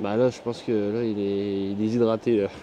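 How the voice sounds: A man's fast, fairly low-pitched voice with a dark, mellow tone, little pitch movement and a northern French accent. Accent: northern French, Ch'ti.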